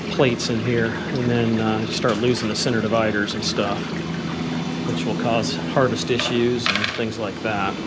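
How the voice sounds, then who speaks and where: Loud background noise surrounds a man who talks at a moderate pace with ordinary pitch variation. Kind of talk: tutorial. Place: workshop. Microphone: phone near.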